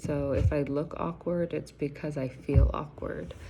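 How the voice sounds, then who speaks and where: With audible room echo, a woman speaks very slowly in a very deep, low pitch and a dark, mellow tone. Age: 40s. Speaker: student and substitute teacher, army veteran. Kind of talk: self-introduction video. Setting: recording herself on camera. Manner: halting, many fillers.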